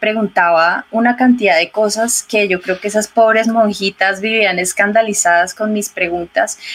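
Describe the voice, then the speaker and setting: With fairly even intonation and medium pitch, the woman has an ordinary speaking voice. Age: 40s. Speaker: ecologist and yoga and meditation instructor. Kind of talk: interview conversation.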